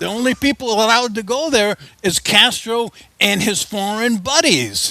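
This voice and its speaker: A man speaks in a raised, projected voice with a high pitch, ordinary pitch variation and a moderate pace. The sound is dry and close with no echo, though there is noticeable background noise. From Cuba. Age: 70s. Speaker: author. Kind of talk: interview.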